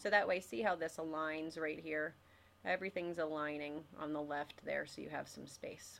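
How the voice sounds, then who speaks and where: Fairly even intonation and a moderate pace in an American accent, with big swings in loudness. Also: woman, very deep, low pitch for a woman. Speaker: English teacher. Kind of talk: tutorial. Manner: casual, with frequent filler words.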